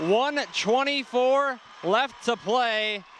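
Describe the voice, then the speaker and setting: A man speaks in a raised, projected voice at an extremely high pitch, with ordinary pitch variation. Noticeable background noise can be heard. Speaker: sports play-by-play broadcaster. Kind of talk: excited live football highlight calls.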